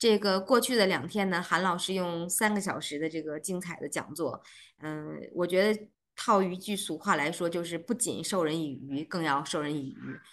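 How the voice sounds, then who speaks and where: A woman's unremarkable speaking voice, fairly low in pitch, at a moderate pace. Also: ordinary pitch variation. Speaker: organizer host. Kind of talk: closing remarks. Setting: video call. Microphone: video call.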